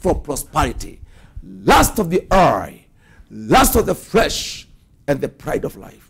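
A man with an animated tone and big swings in loudness over a quiet background. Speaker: preacher. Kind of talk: sermon. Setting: church. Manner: animated, forceful preaching with declarations and exhortations. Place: studio. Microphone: lapel.

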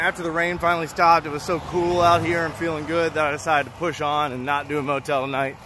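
Noticeable background noise surrounds a man who talks at a fairly quick pace with fairly even intonation, and the sound is dry, with no echo. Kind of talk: casual vlog chat. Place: street. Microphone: phone near.

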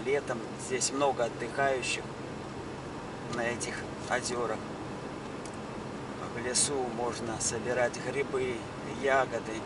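Over loud background noise, a man talks at a very slow pace with long, frequent pauses, the sound dry with no echo. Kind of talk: casual vlog narration. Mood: calm, proud of local area. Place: car. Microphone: phone near.

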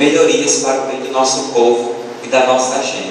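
At a moderate pace, a man is heard amid strong room echo and light background noise. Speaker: speaker. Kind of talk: sermon. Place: hall.

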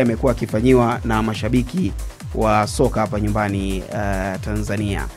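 Faint music plays behind a man as he talks. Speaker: sports show host. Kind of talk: commentary. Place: studio. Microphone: studio mic.

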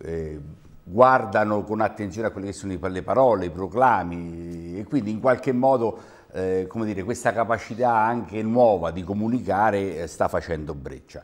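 The speaker is a man with a normal speaking voice and ordinary pitch variation. He keeps a moderate pace, with big swings in loudness. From Terni, Umbria, central Italy; Umbria. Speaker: regional councillor. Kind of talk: televised political debate. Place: studio. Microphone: lapel.

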